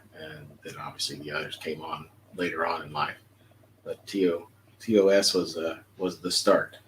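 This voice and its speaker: A man with an American accent speaks at a moderate pace in a very deep, low pitch with ordinary pitch variation, over noticeable background noise. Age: 60s. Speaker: retired police officer, fan club member. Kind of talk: interview. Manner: halting with fillers.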